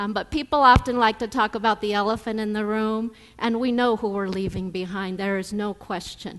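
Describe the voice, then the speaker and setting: A woman talks at a moderate pace. Her pitch is fairly high, with fairly even intonation. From Denver, Colorado (Mexican-born, raised in US). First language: Spanish. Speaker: professor. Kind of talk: keynote speech. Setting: conference stage with audience.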